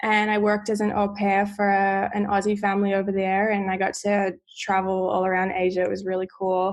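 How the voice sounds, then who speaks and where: A woman with an Australian accent speaks with hardly any pauses and very even loudness. Her intonation is flat and monotone, and the background is quiet. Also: medium pitch for a woman. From Australia, Sydney. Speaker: wellness guest. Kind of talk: casual interview.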